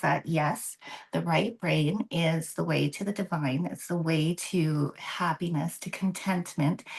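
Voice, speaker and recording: Vocal fry runs through a woman's fairly low voice, which shows ordinary pitch variation. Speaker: tarot reader. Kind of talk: tarot reading in a roundtable discussion. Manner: animated.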